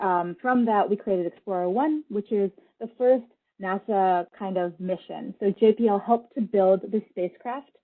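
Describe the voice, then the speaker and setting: A woman speaks at a medium pitch, using a normal speaking voice. Her pace is moderate, and her pitch varies in an ordinary way. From Russia, moved to US young. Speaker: creative technologist, space lab team lead. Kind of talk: public talk with slides. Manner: conversational, some fillers.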